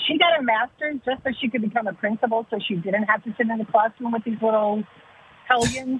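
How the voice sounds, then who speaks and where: Speaking at a fairly quick pace, a woman has an unremarkable speaking voice with a fairly high pitch. Her pitch varies in an ordinary way. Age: 60s. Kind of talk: casual chat.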